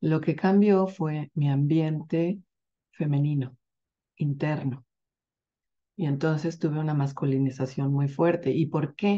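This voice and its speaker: Very slowly, a woman talks at a very deep, low pitch in a dark, mellow tone with ordinary pitch variation, over a quiet background. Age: 50s. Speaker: women's health workshop facilitator. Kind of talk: workshop promo talk. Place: home room. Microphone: webcam.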